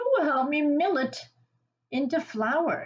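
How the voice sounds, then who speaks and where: A woman in a put-on character voice pitches it high and delivers her lines at a fairly slow pace. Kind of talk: bedtime story. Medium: read story. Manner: clucking, brisk.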